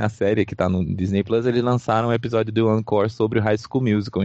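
Using an ordinary speaking voice, a man talks at a fairly quick pace and a fairly low pitch with ordinary pitch variation. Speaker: podcast host. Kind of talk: casual chat.

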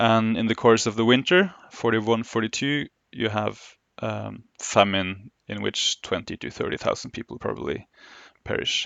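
The speaker has a Norwegian accent and keeps a moderate pace. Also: man. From Oslo, Norway. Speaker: historian. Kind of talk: interview. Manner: halting, many fillers.

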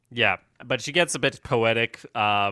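Against a quiet background, a man with a Swedish accent speaks with a fairly low pitch and a bright, sharp tone in a dry, close sound with no echo. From Sweden. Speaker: podcast co-host. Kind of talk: casual TV recap discussion.

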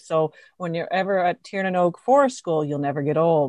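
Against a quiet background, a woman talks in an ordinary speaking voice with a fairly low pitch and ordinary pitch variation. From New Brunswick, Canada. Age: 50s. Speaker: forest school owner and early childhood educator. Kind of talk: casual interview conversation.

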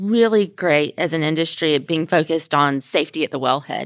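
In an ordinary speaking voice, a woman talks at a moderate pace with lively intonation on a very clean recording with a silent background. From US South, Mobile, Alabama. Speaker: trade association executive. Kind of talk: interview. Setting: conference room in an office.

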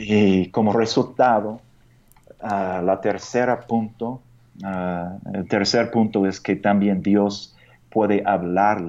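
A man with an American accent, very slow pace and fairly even intonation. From United States. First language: English (speaking Spanish). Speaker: pastor and missionary. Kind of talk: radio interview. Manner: halting.

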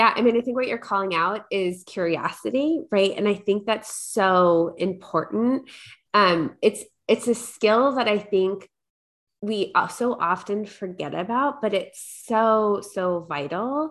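Against a quiet background, a woman with an American accent speaks fairly slowly at a medium pitch with ordinary pitch variation, in an unremarkable speaking voice. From New York, Long Island. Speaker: corporate leader and coach. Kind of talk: interview.

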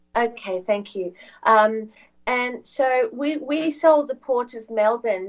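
In an Australian accent, a woman talks at a fairly high pitch. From Australia, Victoria. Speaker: alternative media broadcaster, former journalist. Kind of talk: interview guest, political commentary. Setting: remote video/audio call.

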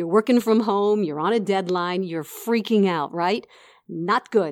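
A woman at a medium pitch and moderate pace, ordinary pitch variation, a plain, everyday voice, on a very clean recording with a silent background. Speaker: broadcaster and podcast host. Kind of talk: interview.

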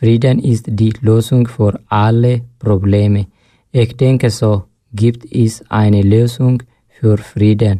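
Very deep and low in pitch, a woman speaks very slowly with a dark, mellow tone. Her intonation is fairly even and her loudness very even. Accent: non-native. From Eritrea. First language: not German (speaking German). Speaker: asylum seeker, radio workshop participant. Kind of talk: reading a prepared text.

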